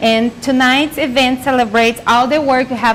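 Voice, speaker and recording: There is noticeable background noise behind a woman with a Brazilian accent. She has a high voice and keeps a moderate pace. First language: Portuguese. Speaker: nonprofit marketing manager and event co-host. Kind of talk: virtual gala hosting. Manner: enthusiastic.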